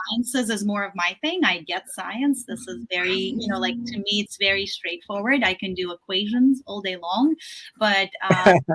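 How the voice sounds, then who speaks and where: A woman's medium-pitched voice at a moderate pace, with lively intonation and big swings in loudness, over music in the background. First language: not English. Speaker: author and yoga teacher. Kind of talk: interview. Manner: halting, many fillers.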